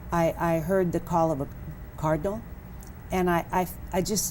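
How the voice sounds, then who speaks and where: Fairly low in pitch, a woman speaks with vocal fry and a dark, mellow tone. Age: 70s. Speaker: author. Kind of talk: interview.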